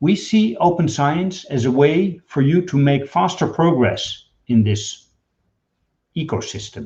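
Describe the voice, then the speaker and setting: Speaking at a fairly slow pace, a man uses a fairly high pitch, a dark, mellow tone and lively intonation. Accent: Dutch. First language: Dutch. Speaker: data management executive. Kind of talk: webinar presentation.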